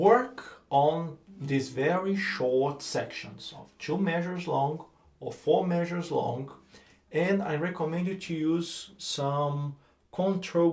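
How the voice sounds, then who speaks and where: Speaking at a very slow pace with a Brazilian accent, a somewhat breathy man shows ordinary pitch variation in audible room echo. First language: Portuguese. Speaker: guitar teacher. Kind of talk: tutorial. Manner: halting.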